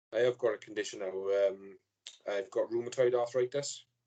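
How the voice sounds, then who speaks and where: A man with a Welsh accent and a dark, mellow tone, at a moderate pace with fairly even intonation. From Wales. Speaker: fan page owner, podcast guest. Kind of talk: casual chat.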